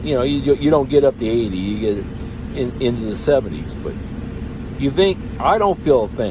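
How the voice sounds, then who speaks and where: Over noticeable background noise, a man with an American accent talks at a fairly quick pace and medium pitch, making very wide pitch swings and long, frequent pauses. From Texas. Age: 60s. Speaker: truck driver vlogger. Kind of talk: casual vlog monologue. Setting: in his truck. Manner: halting, many repetitions and fillers.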